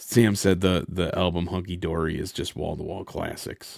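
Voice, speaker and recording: This man has a very deep, low pitch and a monotone, flat intonation. He talks at a fairly slow pace. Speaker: streamer. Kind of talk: live gaming stream chat. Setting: live stream. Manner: halting, repeats words.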